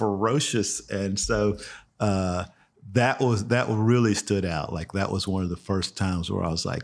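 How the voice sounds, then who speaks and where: Speaking at a fairly slow pace, a man with a fairly low voice and a relaxed tone shows ordinary pitch variation on a very clean recording with a silent background. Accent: Texan. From Texas, Houston. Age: 60s. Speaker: fly fishing guide. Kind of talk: podcast interview. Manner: relaxed, conversational.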